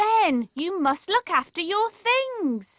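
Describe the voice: A female-sounding cartoonish character voice at an extremely high pitch, very slow, with very wide pitch swings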